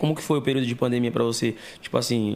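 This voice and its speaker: A man talking at a very fast pace, his intonation fairly even. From Santo André, São Paulo state, Brazil. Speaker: podcast co-host. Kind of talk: casual chat.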